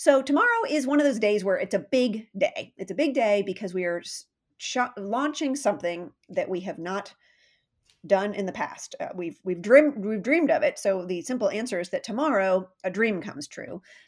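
A woman with an unremarkable speaking voice talks at a moderate pace and medium pitch, her intonation lively. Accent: American. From US West Coast, San Diego. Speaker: nonprofit fundraiser. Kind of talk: interview.

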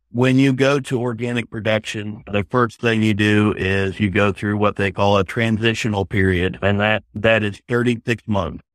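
A man in an ordinary speaking voice, fairly low in pitch, at a moderate pace with hardly any pauses and fairly even intonation, on a very clean recording with a silent background and a dry, close sound with no echo. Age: 40s. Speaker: organic farmer. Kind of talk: radio interview.

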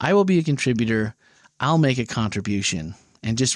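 On a very clean recording with a silent background, a man with a slight Wisconsin accent speaks at a moderate pace and medium pitch with lively intonation. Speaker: podcast host. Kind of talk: casual discussion of a sermon series.

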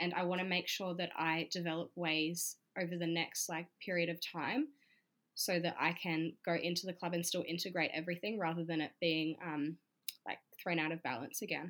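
A woman's fairly low voice at a moderate pace, with fairly even intonation and very even loudness. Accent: Australian. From Australia. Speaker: stripper and YouTuber. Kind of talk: interview.

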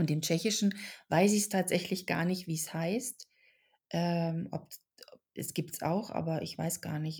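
A fairly low-pitched woman speaks at a fairly slow pace, somewhat breathy, with fairly even intonation. Long, frequent pauses mark the very clean recording with a silent background. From Germany, raised in Czech family. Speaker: actress and author. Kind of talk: podcast interview. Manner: hesitant with fillers.

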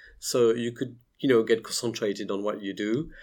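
In a French accent, a man of medium pitch speaks with fairly even intonation on a very clean recording with a silent background. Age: 40s. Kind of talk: interview conversation. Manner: halting, hesitant with fillers.

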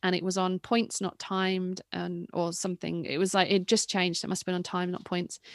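A woman with an English accent and medium pitch at a fairly quick pace, in a very clean recording with a silent background and a dry, close sound with no echo. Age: 30s. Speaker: retired cyclocross racer and commentator. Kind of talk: interview.

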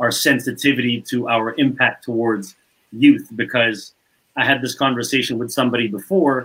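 Medium pitch and fairly level intonation from a man with a normal speaking voice. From Canada, Montreal. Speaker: basketball player development coach. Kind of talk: casual chat.

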